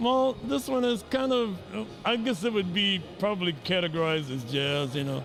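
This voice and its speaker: Very wide pitch swings at a moderate pace, with an American accent, over noticeable background noise. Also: man, high pitch for a man. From Chicago, South Side. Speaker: musician and composer. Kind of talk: interview. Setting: networking event. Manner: halting with many fillers.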